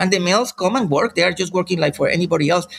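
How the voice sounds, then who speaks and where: A man with a Spanish accent speaks in a high pitch with a bright, sharp tone. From Colombia, rural jungle region. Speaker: professor and researcher. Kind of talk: interview. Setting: remote call from family farm in Colombia.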